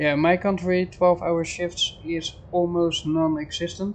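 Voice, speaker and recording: A very slow pace in a Dutch accent. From Netherlands. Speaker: game streamer. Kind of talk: casual live stream chat with gameplay.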